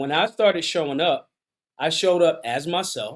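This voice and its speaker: The man's pitch variation is ordinary. He talks at a moderate speed. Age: 60s. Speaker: gun rights activist. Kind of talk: interview. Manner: hesitant fillers.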